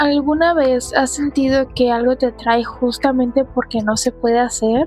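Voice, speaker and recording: Fairly slow speech with fairly even intonation, over music in the background. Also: woman. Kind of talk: casual solo podcast talk. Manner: casual, frequent swearing.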